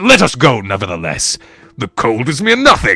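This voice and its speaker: Using a put-on character voice, a man talks at a medium pitch and a moderate pace. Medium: read story. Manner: boastful, excitable.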